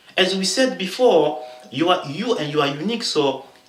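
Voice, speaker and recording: A man with a French accent speaks at a high pitch with very wide pitch swings. Noticeable background noise and audible room echo surround him. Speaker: motivational vlogger. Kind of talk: motivational talk to camera. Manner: halting, many fillers.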